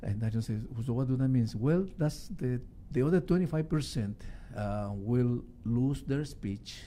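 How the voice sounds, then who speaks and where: A man with a Spanish accent speaks at a fairly slow pace and medium pitch. His tone is dark and mellow, and his intonation is lively. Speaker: musician. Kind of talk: radio interview. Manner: halting.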